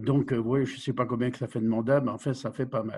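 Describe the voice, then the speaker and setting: This man's voice is dark and mellow, somewhat breathy, at medium pitch. His intonation stays fairly even. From Vosges, eastern France. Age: 70s. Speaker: village mayor. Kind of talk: interview.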